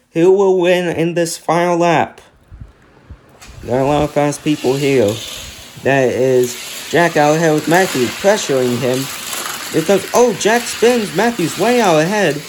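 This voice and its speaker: Fairly slow delivery with long, frequent pauses over noticeable background noise. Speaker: diecast race commentator. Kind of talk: live commentary. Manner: animated.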